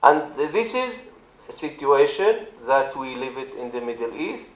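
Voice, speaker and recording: With noticeable background noise behind him, a man with an Arabic accent speaks fairly slowly at a fairly high pitch with lively intonation. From Israel, Druze community. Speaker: politician. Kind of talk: speech. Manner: halting.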